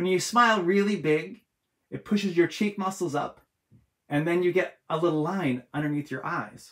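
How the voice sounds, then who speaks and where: Over a quiet background, a man speaks with a high pitch. His pace is moderate. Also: ordinary pitch variation. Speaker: author and illustrator. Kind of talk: live drawing tutorial for kids. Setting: home art studio, livestream. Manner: animated. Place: home room.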